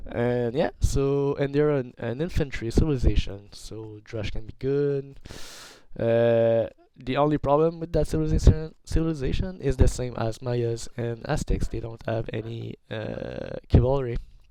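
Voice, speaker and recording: Noticeable background noise surrounds a man's voice. His loudness swings widely. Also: medium pitch for a man, ordinary pitch variation, moderate pace. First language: not English. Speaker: gaming commentator. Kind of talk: video game commentary. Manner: halting, many fillers and restarts. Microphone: poor quality microphone.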